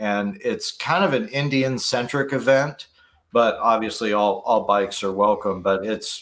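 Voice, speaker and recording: This man has an ordinary speaking voice with a medium pitch and fairly even intonation. He talks at a fairly slow pace. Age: 50s. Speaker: motorcycle YouTuber. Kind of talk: casual chat.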